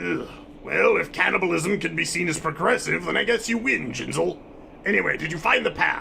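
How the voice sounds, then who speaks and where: Using a put-on character voice, a man talks at a fairly quick pace over clear background noise. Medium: machinima. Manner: haughty, contemptuous.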